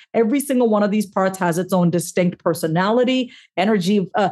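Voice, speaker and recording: A plain, everyday voice, a woman with an American accent at a moderate pace, medium in pitch with ordinary pitch variation, over a quiet background. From New York. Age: 40s. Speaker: therapist and author. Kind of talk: casual interview.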